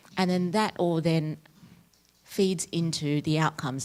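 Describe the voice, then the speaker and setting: Here a woman speaks with an Australian accent at a moderate pace. Her pitch is very deep and low for a woman. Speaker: academic researcher. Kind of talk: lecture.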